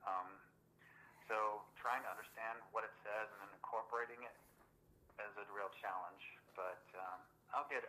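A fairly low-pitched man with an American accent, bright and sharp in tone, fairly even in intonation, at a moderate pace with long, frequent pauses and big swings in loudness. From US West Coast, East Los Angeles. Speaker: author, army veteran. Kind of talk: interview.

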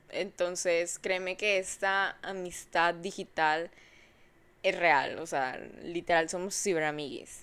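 On a very clean recording with a silent background, a woman talks at a very slow pace and a fairly low pitch. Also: fairly even intonation. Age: 20s. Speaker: podcast host. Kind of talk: casual monologue. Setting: lying in bed at home at night. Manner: relaxed, intimate.

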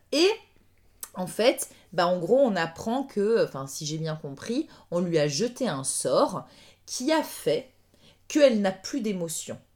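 A woman talks at a very slow pace with long, frequent pauses. Her pitch swings very widely. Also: medium pitch for a woman. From France. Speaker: dancer. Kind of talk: casual chat.

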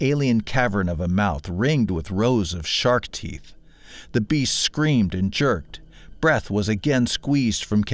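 The reading voice is unforced, with lively intonation.

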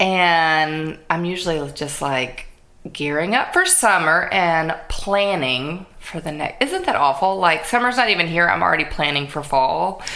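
With an American accent, a woman speaks fairly slowly in a fairly low pitch with lively intonation, against noticeable background noise and audible room echo. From US Gulf Coast. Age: 40s. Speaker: podcast host. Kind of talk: casual chat.

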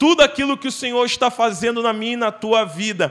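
A man with an extremely high pitch and ordinary pitch variation speaks over noticeable background noise. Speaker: guest preacher. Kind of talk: sermon. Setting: church. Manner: fervent, exhortative preaching, pleading directly with the congregation.

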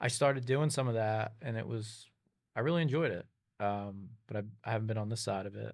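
A man speaks at a fairly quick pace and medium pitch with ordinary pitch variation in a very clean recording with a silent background. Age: 30s. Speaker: CEO of family-owned fuel company. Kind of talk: interview. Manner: halting.

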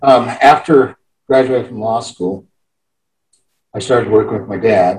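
At a medium pitch, a man talks with ordinary pitch variation and a somewhat breathy voice, his loudness swinging widely between long, frequent pauses. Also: moderate pace. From Wyoming (Cheyenne). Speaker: former state senator, judge. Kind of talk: interview.

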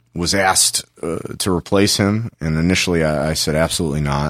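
With an American accent, a man talks in a very deep, low voice and fairly even intonation, recorded very cleanly against a silent background. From Los Angeles. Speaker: comedy club talent coordinator. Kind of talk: casual interview.

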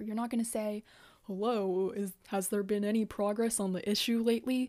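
In a Canadian accent, a woman speaks in a normal speaking voice, fairly high in pitch with fairly even intonation, on a very clean recording with a silent background. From Canada. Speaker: podcast host. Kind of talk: casual monologue.

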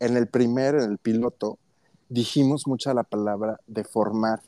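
Very slowly, a man speaks at a medium pitch in a dark, mellow tone with ordinary pitch variation and a dry, close sound with no echo. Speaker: podcast co-host. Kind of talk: casual chat. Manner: laughs a lot.

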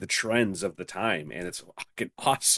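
An ordinary speaking voice with lively intonation comes at a moderate pace. The sound is dry and close, with no echo. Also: man. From Canada. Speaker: podcast co-host. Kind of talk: casual chat. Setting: video call.

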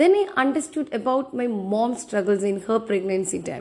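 A woman speaks at a moderate pace with a Tamil accent. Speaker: podcaster. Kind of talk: solo podcast monologue. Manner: halting.

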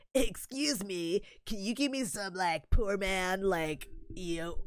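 At a fairly slow pace, a female-sounding voice puts on a character voice at a middle pitch. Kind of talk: affected, trendy. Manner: snobby, condescending.

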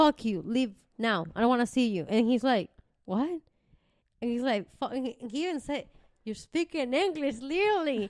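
Her high-pitched voice swings very widely in pitch as the woman talks with a Venezuelan accent. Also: moderate pace, dry, close sound with no echo. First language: Spanish. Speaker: podcast co-host. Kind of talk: casual chat.

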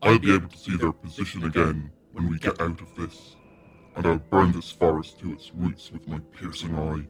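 Very deep, low pitch from a man doing a put-on character voice, delivered at a moderate pace. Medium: read story. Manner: boastful, grim, blunt.

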